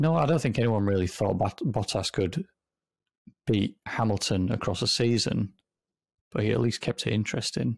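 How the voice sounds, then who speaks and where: The speaker has vocal fry and lively intonation, talking at a moderate pace with long, frequent pauses. The recording is very clean, with a silent background. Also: man, fairly low pitch for a man. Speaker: podcast co-host.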